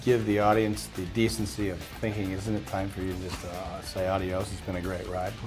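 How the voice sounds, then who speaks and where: Music in the background behind a man's moderately paced speech. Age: 60s. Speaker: actor. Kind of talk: interview answer.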